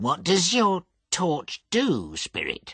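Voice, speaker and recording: The voice stays at a middle pitch. It is a put-on character voice. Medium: read story. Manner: quiet, subdued.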